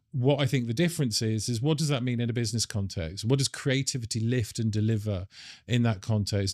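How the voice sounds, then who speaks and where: A British accent with ordinary pitch variation, in a very clean recording with a silent background. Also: man. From United Kingdom. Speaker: industry association executive. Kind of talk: interview. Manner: halting, with fillers.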